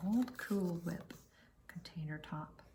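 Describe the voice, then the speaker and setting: A soft-spoken, somewhat breathy woman at a fairly low pitch, with ordinary pitch variation. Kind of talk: casual talk to camera. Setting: indoors at home, flipping through books.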